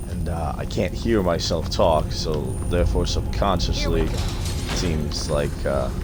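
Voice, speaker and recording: With noticeable background noise and audible room echo, a man with a very deep, low pitch speaks at a fairly slow pace using lively intonation. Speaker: video game streamer. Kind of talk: live gameplay commentary. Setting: live stream with headphones. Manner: hesitant, many fillers.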